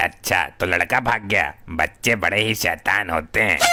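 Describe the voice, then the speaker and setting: A man's cartoonish character voice, fairly low in pitch with ordinary pitch variation, at a fairly slow pace and very even loudness. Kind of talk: comic overacting. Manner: stammering, searching for words.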